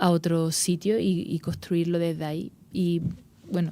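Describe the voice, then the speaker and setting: This woman has an Andalusian accent and a fairly low pitch. Her tone is dark and mellow, and her intonation stays fairly even. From Andalusia, Spain. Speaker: actress. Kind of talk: interview. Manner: halting, many repetitions and fillers.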